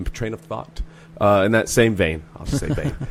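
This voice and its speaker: A man with a fairly low pitch is heard over noticeable background noise. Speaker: comedian. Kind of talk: casual chat. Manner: talks in long stream-of-thought.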